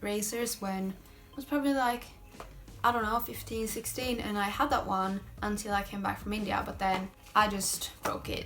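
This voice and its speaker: A woman with a Swedish accent at a medium pitch, a moderate pace and fairly even intonation, with music in the background. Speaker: lifestyle vlogger. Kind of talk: product haul video. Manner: casual, hesitant with fillers.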